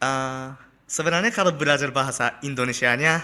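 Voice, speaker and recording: The man's tone is bright and sharp, at a medium pitch. He keeps a moderate pace with ordinary pitch variation. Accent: Japanese. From Japan. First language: Japanese (speaking Indonesian). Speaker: exchange student. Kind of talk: casual interview chat. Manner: halting.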